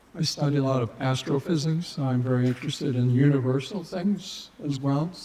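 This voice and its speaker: Over noticeable background noise, a man speaks at a moderate pace. His voice is fairly high and fairly even in intonation. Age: 70s. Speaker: nonprofit founder. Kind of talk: conference talk.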